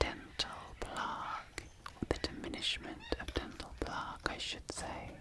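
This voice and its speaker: A fairly slow whisper amid noticeable background noise. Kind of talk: ASMR Whispered; whispered ASMR commentary. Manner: whispered.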